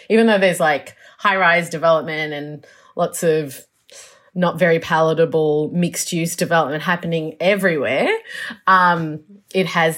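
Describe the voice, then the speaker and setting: A woman with an Australian accent, fairly low-pitched, with ordinary pitch variation and a moderate pace, on a very clean recording with a silent background. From Melbourne, Australia. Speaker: urban planner. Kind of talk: interview. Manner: halting, many fillers.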